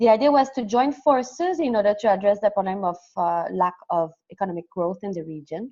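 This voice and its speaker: With a French Canadian accent, a woman talks at a fairly quick pace and medium pitch, her tone dark and mellow and her intonation lively, over a quiet background. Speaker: development program coordinator. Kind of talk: webinar presentation. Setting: online webinar. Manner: fast.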